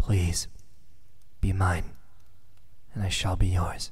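A soft-spoken voice talks at a very slow pace against a quiet background. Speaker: character voice actor. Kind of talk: romantic roleplay monologue. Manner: soft, pleading romantic murmur.

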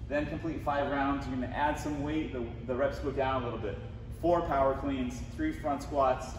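Speech at a moderate pace comes through audible room echo and noticeable background noise. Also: man. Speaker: fitness coach. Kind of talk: tutorial. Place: gym. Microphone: camera far.

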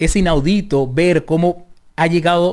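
Against a quiet background, a man is speaking. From Venezuela. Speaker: Venezuelan immigrant interviewee; interviewee. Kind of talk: radio interview. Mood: earnest, advising. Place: studio. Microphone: studio mic.

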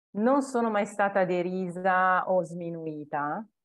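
There is a quiet background behind this woman. Her intonation is lively. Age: 40s. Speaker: home organization consultant; interviewee. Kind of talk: interview. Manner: hesitant, many fillers. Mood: warm, reflective. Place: home room. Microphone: earbuds.

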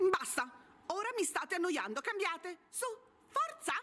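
The voice here is a character put-on. It sits extremely high in pitch. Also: moderate pace. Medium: stage. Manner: bossy, shouting.

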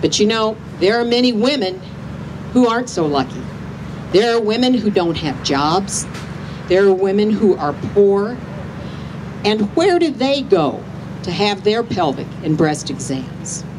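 Amid noticeable background noise, a woman with an American accent speaks fairly slowly in a passionate tone, her pitch swinging very widely and her speech broken by long, frequent pauses. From US Midwest. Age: 50s. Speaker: rally speaker. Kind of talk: rally speech, rousing and personal testimony. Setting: outdoor rally with crowd. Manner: emphatic, rallying the crowd with direct questions, earnest and passionate. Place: street. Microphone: handheld.

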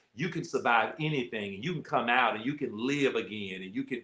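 A man is speaking. There's audible room echo around his voice. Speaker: host, pastor. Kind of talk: interview host talk. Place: home room. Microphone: video call.

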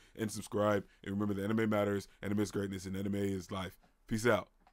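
A man is speaking. His pitch sits fairly low. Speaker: anime reaction youtuber. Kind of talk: video reaction commentary. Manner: animated.

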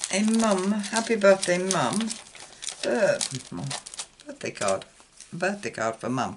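There is noticeable background noise as a woman speaks at a very slow pace. Her pitch swings very widely. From UK. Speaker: card-making YouTuber. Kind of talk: crafting tutorial. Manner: casual, hesitant with fillers.

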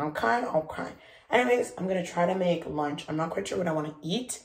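Over a quiet background, the talking proceeds at a moderate pace. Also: woman. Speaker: vlogger. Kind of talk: casual vlog chat. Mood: excited, cheerful. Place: kitchen. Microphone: phone near.

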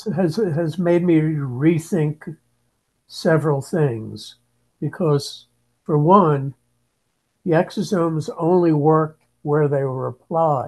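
Against a quiet background, a man talks at a very slow pace with a fairly high pitch. Long, frequent pauses break up his speech. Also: ordinary pitch variation. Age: 70s. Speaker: aging researcher. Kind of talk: interview. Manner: halting. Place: home room. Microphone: video call.

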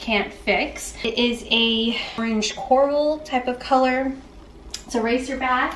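A woman's high-pitched voice with audible room echo and light background noise. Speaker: fashion vlogger. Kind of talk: casual vlog chat. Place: home room. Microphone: camera far.

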